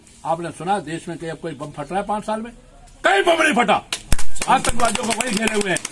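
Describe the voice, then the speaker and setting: A man speaks at a moderate pace in a high voice with very wide pitch swings. Background noise is noticeable. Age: 70s. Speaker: politician. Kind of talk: campaign speech. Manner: forceful.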